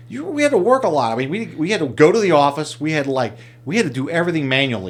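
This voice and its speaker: Very fast, fairly high-pitched male speech with vocal fry and very wide pitch swings. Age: 50s. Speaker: entrepreneur. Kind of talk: casual chat.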